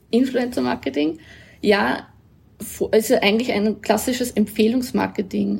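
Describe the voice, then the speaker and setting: A woman with a slight Upper Austrian accent has a fairly high pitch, a dark, mellow tone, vocal fry and ordinary pitch variation. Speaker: agency executive. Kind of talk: interview.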